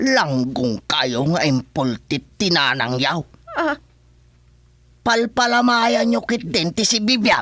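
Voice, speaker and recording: A man's put-on character voice, high-pitched and very slow, with very wide pitch swings and very even loudness. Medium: audio drama. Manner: blunt, boastful.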